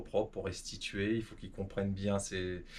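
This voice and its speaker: This man's fairly low voice stays monotone, with flat intonation. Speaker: rally driver. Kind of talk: interview. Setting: at home. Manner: fast; hesitant, many fillers.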